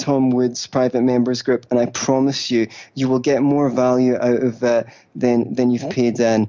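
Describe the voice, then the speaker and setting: Here a man of medium pitch speaks with a Scottish accent. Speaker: libertarian writer and podcaster. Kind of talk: casual interview chat. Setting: phone call.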